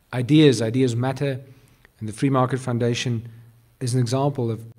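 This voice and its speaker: A man's somewhat breathy voice. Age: 30s. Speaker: business group CEO. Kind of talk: speech. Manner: halting.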